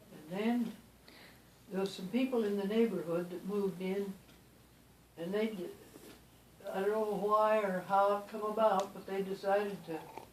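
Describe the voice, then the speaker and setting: Over noticeable background noise, a woman speaks at a moderate pace in a monotone, flat intonation, with long, frequent pauses and big swings in loudness. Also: medium pitch for a woman. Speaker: great-great-grandmother. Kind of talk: interview answer.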